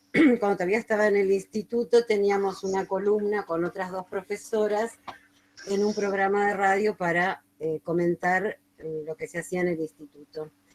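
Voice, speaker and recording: A woman uses an ordinary speaking voice at a moderate pace, medium in pitch, with ordinary pitch variation. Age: 60s. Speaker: retired teacher, radio storyteller. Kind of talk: interview, casual explanation.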